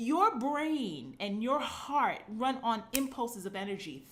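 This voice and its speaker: An animated woman in a Brooklyn accent, high-pitched and full of very wide pitch swings. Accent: New York (Brooklyn). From New York (Brooklyn). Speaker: fitness coach. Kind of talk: live stream monologue. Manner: animated, casual.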